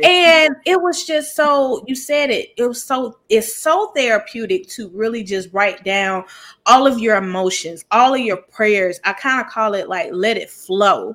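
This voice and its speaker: In a Southern US accent, a woman with a high pitch talks at a fairly slow pace in an animated tone, her pitch swinging very widely and hardly any pauses breaking her speech. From US South. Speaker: podcast host. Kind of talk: casual chat.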